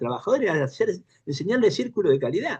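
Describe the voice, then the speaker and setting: A man speaks with a somewhat breathy voice. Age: 70s. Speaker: panel participant in political discussion forum. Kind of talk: panel discussion. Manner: halting, many false starts.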